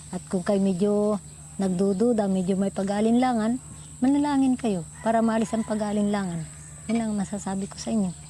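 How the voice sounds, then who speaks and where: Somewhat breathy voice with a dark, mellow tone, a fairly quick pace, and ordinary pitch variation. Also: woman, medium pitch for a woman. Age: 80s+. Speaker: elderly church member sharing memories. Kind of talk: family mealtime storytelling. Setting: dinner table at sunset.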